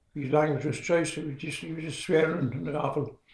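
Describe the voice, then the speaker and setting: Here a man speaks in a dark, mellow tone that is somewhat breathy. His intonation stays fairly even. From Northumberland, England. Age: 90s. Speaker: retired coal miner and church organist. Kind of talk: interview answer. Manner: hesitant, rambling.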